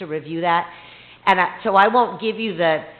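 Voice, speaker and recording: At a moderate pace, a woman with a fairly low pitch and fairly even intonation speaks amid audible room echo and noticeable background noise. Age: old. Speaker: court-appointed special master. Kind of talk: public presentation. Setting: council meeting. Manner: loud; many fillers.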